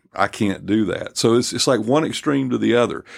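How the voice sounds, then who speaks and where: Heard in a very clean recording with a silent background, a man speaks with lively intonation and vocal fry. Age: 50s. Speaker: lead pastor and podcast host. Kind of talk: casual panel discussion.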